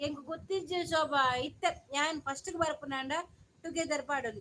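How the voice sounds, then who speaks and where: A woman projects a raised, high-pitched voice with a bright, sharp tone. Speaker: live streamer. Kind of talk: casual live-stream chat.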